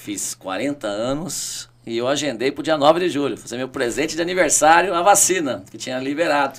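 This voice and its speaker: Over noticeable background noise, a man talks at a moderate pace with hardly any pauses, his fairly high pitch showing ordinary variation and his loudness swinging widely. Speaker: city councillor and teacher. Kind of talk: podcast interview. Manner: animated.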